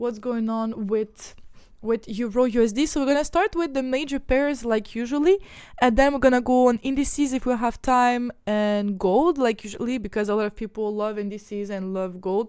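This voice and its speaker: A fairly high-pitched woman with a slight Quebec accent in a very clean recording with a silent background. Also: ordinary pitch variation, moderate pace. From Ukraine. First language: not English; speaks French daily, Ukrainian origin. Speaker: trading educator. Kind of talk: live-streamed chart analysis tutorial. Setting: live stream with screen-shared charts. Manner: casual, repetitive with fillers and restarts.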